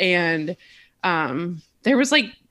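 Over a quiet background, a woman is speaking. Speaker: podcast guest. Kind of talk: interview answer. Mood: relaxed, lightly amused. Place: home room.

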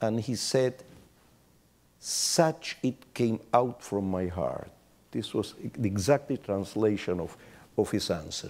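In a Spanish accent, someone talks very slowly with lively intonation. Long, frequent pauses break up the speech. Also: man, fairly low pitch for a man. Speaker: rabbi. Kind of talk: panel discussion; panel discussion answer. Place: hall. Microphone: lapel.

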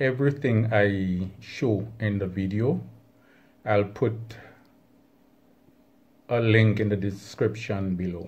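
Speaking at a very slow pace with long, frequent pauses, a man uses a fairly low, somewhat breathy voice with ordinary pitch variation. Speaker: hobbyist channel host. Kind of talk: casual vlog chat. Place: home room.

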